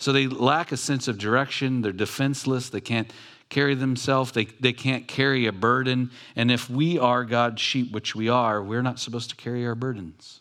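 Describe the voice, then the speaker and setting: An American-accented man talks at a medium pitch and moderate pace, with fairly even intonation, in an ordinary speaking voice. The recording is very clean, with a silent background. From Southern California, Long Beach. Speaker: pastor. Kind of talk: sermon. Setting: church.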